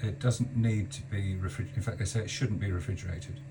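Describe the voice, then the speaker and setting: Over noticeable background noise, a man with an English accent speaks at medium pitch with ordinary pitch variation. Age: 60s. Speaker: cancer patient. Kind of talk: video diary. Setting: on a boat.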